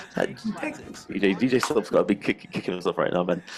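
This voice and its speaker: A man speaks with a fairly low pitch that swings very widely. Noticeable background noise is present. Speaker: gaming commentator. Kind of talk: casual chat. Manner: animated.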